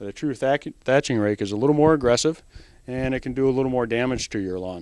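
At a moderate pace and with ordinary pitch variation, a man speaks against a quiet background in a dry sound with no echo. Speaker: presenter. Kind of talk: tutorial. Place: shop. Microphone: handheld.

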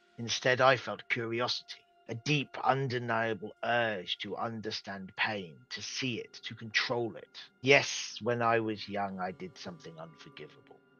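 A man uses a put-on character voice. It sits at a medium pitch, delivered at a moderate pace. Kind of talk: dramatic in-character monologue. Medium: actual play. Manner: solemn, formal, persuasive, unsettling.

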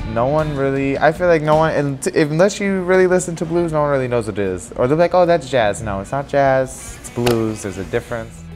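A man with an American accent talks at a fairly quick pace, his pitch fairly high and his intonation lively. Faint music plays in the background. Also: hardly any pauses. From Chicago, Illinois. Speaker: blues musician. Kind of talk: interview answer. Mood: relaxed, smiling, earnest. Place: bar. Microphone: lapel.

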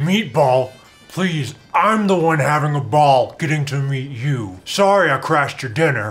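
A man performs a cartoonish character voice at a fairly high pitch and moderate pace. Faint music plays in the background. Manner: playful, punning, friendly.

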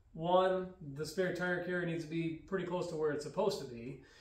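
A man with a high-pitched voice talks amid audible room echo. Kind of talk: tutorial. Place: garage. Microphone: camera far.

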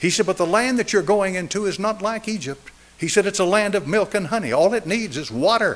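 A man with an American accent, high-pitched for a man, at a fairly quick pace. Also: ordinary pitch variation. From East Tennessee. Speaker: pastor. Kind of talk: sermon. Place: church. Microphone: podium.

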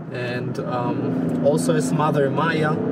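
A man in a dry sound with no echo, with loud background noise. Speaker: fitness coach. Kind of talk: casual vlog chat. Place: car. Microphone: camera far.

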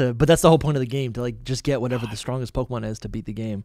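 The man's pace is very fast. The pitch rises and falls an ordinary amount. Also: quiet background, dry sound with no echo. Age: 30s. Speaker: podcast host. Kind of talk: casual interview chat. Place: home room. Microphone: studio mic.

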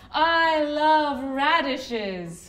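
The speaker uses a put-on character voice with lively intonation. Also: woman, high pitch for a woman. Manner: regal.

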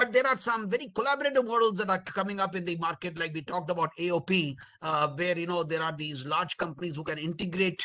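A man with an Indian accent talks at a high pitch and a fairly quick pace, his tone bright and sharp. His pitch varies in an ordinary way over a quiet background. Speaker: webinar moderator, army colonel; webinar panelist. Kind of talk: panel moderation. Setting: video call. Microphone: video call.

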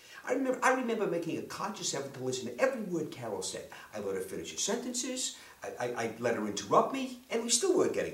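A man talks at a very fast pace in a space with audible room echo. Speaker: storyteller. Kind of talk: comic personal storytelling monologue. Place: home room.

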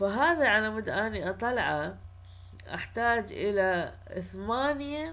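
Audible room echo surrounds a woman with an Iraqi accent who speaks at a very slow pace. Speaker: university lecturer. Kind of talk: lecture.

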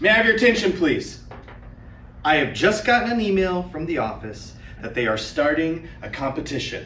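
Over light background noise, a man talks at a moderate pace. Audible room echo surrounds his voice. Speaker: teacher. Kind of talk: classroom announcement to students. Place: classroom.

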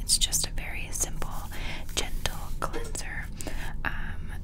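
A woman speaks at a fairly slow pace over loud background noise. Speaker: ASMR creator. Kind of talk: ASMR skincare haul, casual talk to camera. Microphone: studio mic.

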